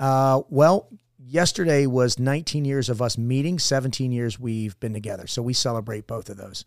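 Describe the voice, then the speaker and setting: A man with a plain, everyday voice, medium pitch and ordinary pitch variation at a moderate pace, on a very clean recording with a silent background. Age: 50s. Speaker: former Navy SEAL and leadership mentor. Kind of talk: casual chat.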